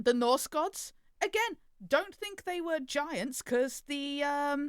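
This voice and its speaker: The sound is dry and close, with no echo. A woman speaks in an English accent. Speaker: podcast co-host. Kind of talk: casual chat.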